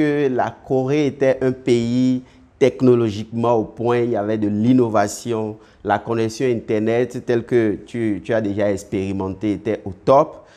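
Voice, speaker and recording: Very slowly, a man speaks in a medium-pitched voice with a dark, mellow tone. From Benin. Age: 30s. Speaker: web entrepreneur. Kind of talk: interview. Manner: halting.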